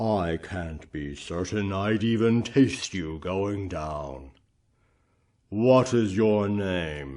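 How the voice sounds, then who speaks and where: In a cartoonish character voice, a man rumbles along at a very slow pace with a very deep, low pitch against a quiet background. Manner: wry, courtly.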